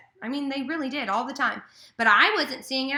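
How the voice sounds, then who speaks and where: Her voice raised and projected, a woman speaks at a high pitch and a fairly quick pace amid audible room echo. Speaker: life coach. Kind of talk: casual advice vlog. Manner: loud; filler-heavy, many ums and pauses.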